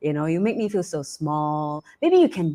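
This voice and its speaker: A woman with a Cantonese accent speaks at a moderate pace and a fairly low pitch. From Malaysia. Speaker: talk show host. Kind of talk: live online talk show. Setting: live stream broadcast. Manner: frequent filler words and repetitions.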